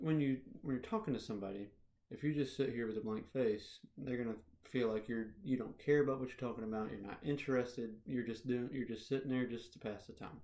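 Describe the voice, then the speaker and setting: The voice is quiet and moves at a fairly quick pace. Its pitch varies in an ordinary way. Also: man, medium pitch for a man. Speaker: public speaking student. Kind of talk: self-reflection video. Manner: quiet, poorly projected.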